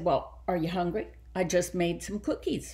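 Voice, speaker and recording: A put-on character voice runs at a moderate pace. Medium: read story.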